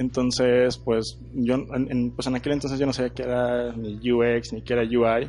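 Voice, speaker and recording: Medium in pitch, a man speaks at a fairly slow pace with hardly any pauses. His intonation is monotone and flat. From northern Mexico, Torreón (La Laguna). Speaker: product designer. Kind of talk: interview.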